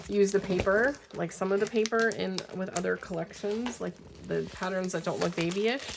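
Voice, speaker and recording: A woman with a medium pitch and fairly even intonation talks at a moderate pace, with noticeable background noise around her. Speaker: craft video creator. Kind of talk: casual haul video talk. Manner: hesitant, many fillers.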